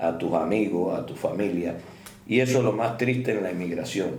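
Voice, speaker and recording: Vocal fry runs through a man's voice as he speaks at a moderate pace with ordinary pitch variation. The room echo is audible. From Cuba. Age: 70s. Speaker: doctor. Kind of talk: interview.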